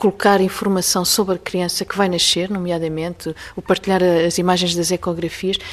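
A woman at a medium pitch, moderate in pace, with monotone, flat intonation. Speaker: researcher. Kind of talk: interview. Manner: hesitant, with fillers.

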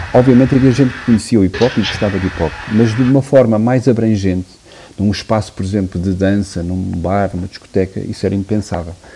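Over noticeable background noise, a man with a fairly low pitch speaks at a fairly quick pace with ordinary pitch variation. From Portugal, Porto. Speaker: music producer and DJ. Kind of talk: interview. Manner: halting.

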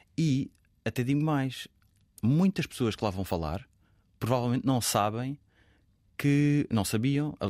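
A man at a medium pitch with ordinary pitch variation, recorded dry and close with no echo in a very clean setting with a silent background. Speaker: author. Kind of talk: casual chat.

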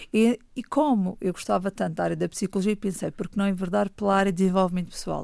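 Barely pausing, a woman races along at a very fast pace in a dark, mellow, medium-pitched voice with ordinary pitch variation. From Madeira, Portugal (Funchal). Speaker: children's author and storyteller. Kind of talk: radio interview. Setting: studio.

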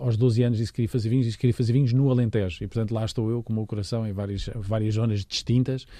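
Very fast and with hardly any pauses, a man talks at a medium pitch. His tone is dark and mellow, his intonation fairly even. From Portugal, Lisbon. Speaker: winemaker. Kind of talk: interview. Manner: halting.

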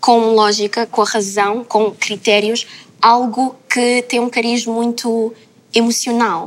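Speaking at a very slow pace, a woman keeps a monotone, flat intonation in a fairly high pitch. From Lisbon, Portugal. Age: 20s. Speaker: content creator. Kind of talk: panel discussion.

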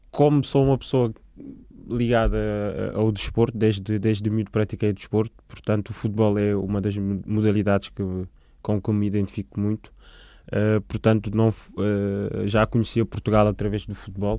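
Over a quiet background, a man speaks in a dark, mellow tone at a fairly low pitch, keeping his intonation fairly even and leaving long, frequent pauses. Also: moderate pace. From Senegal, Dakar. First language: Manjaco and French (speaking Portuguese). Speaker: community worker. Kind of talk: interview testimony. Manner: halting, with many fillers.

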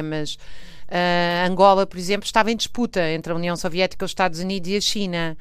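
A woman with a European Portuguese accent talks at a fairly quick pace with ordinary pitch variation. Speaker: historian. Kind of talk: interview. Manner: hesitant with fillers.

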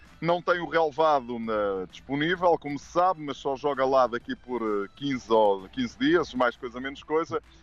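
This man has an unremarkable speaking voice and talks fairly slowly with hardly any pauses. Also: fairly high pitch for a man, lively intonation. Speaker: football pundit. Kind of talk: radio sports preview.

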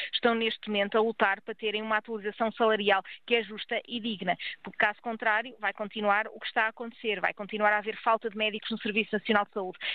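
A woman talks at a very fast pace and a fairly high pitch in a monotone, flat intonation. Her loudness swings widely. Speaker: doctors' union president. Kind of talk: radio interview.

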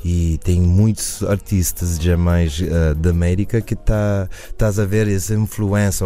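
Speech comes at a fairly slow pace with fairly even intonation. Music plays in the background. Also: man. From USA, Cape Verdean family. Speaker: musician. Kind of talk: radio interview. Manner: halting.

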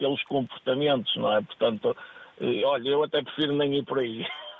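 A man's voice at a moderate pace. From northern Portugal, Póvoa de Varzim. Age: 40s. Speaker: football agent and scout. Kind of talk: interview. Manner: halting, repeats words.

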